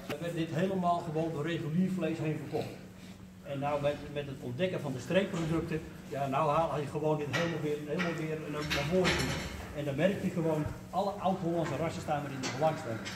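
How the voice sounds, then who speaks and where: Loud background noise sits behind a man speaking at a fairly quick pace. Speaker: cattle farmer guide. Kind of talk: explanatory talk to a group. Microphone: camera far.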